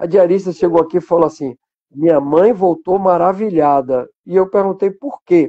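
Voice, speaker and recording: At a moderate pace, a man talks in a high pitch with ordinary variation. His tone is dark and mellow. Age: 60s. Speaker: journalist and biographer. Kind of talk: interview on a live stream.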